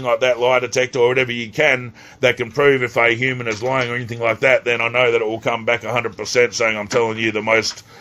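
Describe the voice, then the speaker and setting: A man's bright, sharp voice at a very fast pace, monotone with flat intonation. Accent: Australian. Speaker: spiritual teacher, self-described psychic.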